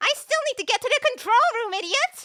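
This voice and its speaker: Putting on a squeaky character voice, a woman speaks at an extremely high pitch and a fairly quick pace with lively intonation. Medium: audio drama. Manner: sarcastic, dry.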